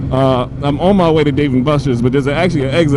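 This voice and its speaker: A man with an American accent at a fairly quick pace, with noticeable background noise and audible room echo. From New Jersey, US East Coast. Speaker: motorcycle vlogger, company founder. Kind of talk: casual vlog monologue. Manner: halting, repeats words.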